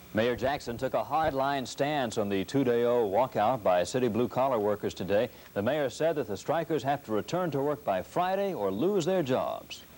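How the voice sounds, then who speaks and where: Lively intonation runs through a man's unremarkable speaking voice at a medium pitch. He holds a moderate pace and very even loudness. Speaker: television news anchor. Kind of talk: television news broadcast. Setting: TV studio broadcast, 1970s aircheck.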